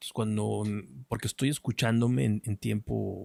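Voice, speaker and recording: Mumbling, a man speaks in a dry, close sound with no echo. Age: 40s. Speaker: philosophy content creator, writer and speaker. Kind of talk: unscripted monologue. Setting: in front of a camera. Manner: mumbling, swallows words.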